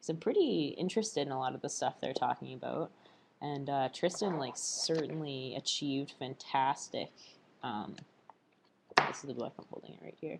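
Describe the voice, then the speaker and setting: Speaking at a moderate pace, a woman with a very deep, low pitch uses lively intonation and big swings in loudness. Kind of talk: casual video diary. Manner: halting, many fillers.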